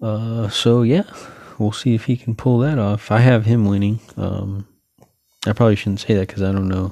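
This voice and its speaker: In an American accent, a man with a dark, mellow tone speaks at a moderate pace in a monotone, flat intonation, leaving long, frequent pauses. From Northern California (San Jose). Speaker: MMA fan podcaster. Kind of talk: casual solo fight predictions. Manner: casual, hesitant with fillers.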